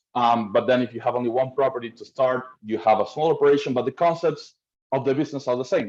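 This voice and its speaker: With an Argentine accent, a man speaks at a very fast pace. His pitch is medium and his intonation fairly even. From Argentina, Buenos Aires. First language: Spanish. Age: 30s. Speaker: rental management company owner. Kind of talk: webinar presentation. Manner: halting, repeats words.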